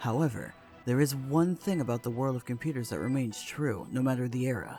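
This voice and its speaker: Over music in the background, a man speaks at a fairly quick pace with a medium pitch and ordinary pitch variation. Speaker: horror story narrator. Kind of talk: creepypasta story reading.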